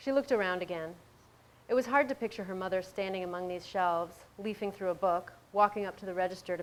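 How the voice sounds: A natural reading voice is heard throughout.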